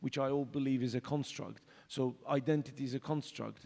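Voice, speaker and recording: This man speaks at a moderate pace in a fairly high pitch, with a dark, mellow tone. His intonation stays fairly even, and he has a Turkish accent. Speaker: exiled theatre artist, panelist. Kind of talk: panel discussion. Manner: halting, many fillers.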